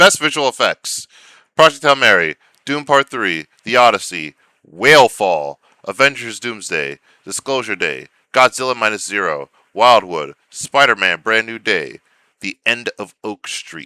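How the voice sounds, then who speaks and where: The voice has a bright, sharp tone with vocal fry, moving at a fairly slow pace with very wide pitch swings and big swings in loudness. The recording is very clean and dry, close with no echo and a silent background. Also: man, medium pitch for a man. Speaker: film awards commentator. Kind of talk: casual vlog monologue. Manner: halting.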